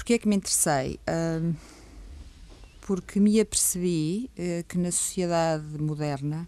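A very slow woman's voice, fairly low in pitch, with a dark, mellow tone. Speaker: stress management trainer. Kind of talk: radio interview. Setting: radio studio. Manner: calm, measured.

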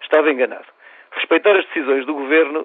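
Speaking with a European Portuguese accent, a man uses a fairly high pitch. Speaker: medical association leader. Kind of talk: reading aloud an opinion column. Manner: formal.

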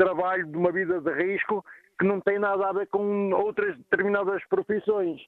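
A man at a moderate pace and a high pitch. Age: 50s. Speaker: caller, truck driver. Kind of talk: radio phone-in. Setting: phone call while traveling.

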